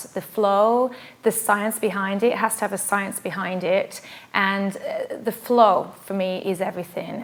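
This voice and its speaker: A woman speaks with a British accent. Her pitch is medium and her pace fairly slow. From England. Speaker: pilates instructor. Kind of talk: self-introduction.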